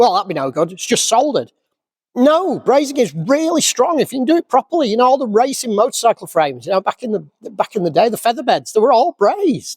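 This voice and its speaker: An animated man talks very fast at an extremely high pitch. His pitch swings very widely. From Yorkshire, England. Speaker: classic car restorer. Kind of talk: casual vlog rant. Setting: workshop. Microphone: crackling microphone.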